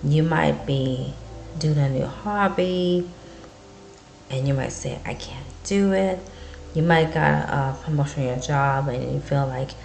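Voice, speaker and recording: Over faint music in the background, a woman with a very deep, low pitch talks with ordinary pitch variation and long, frequent pauses. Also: fairly slow pace. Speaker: vlogger. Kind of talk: encouraging casual vlog talk. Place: home room. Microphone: webcam.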